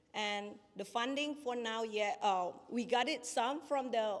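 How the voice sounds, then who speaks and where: A woman's fairly high-pitched voice with a non-native accent. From Indonesia. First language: not English. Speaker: small business owner. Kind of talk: pitch presentation with Q&A. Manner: halting.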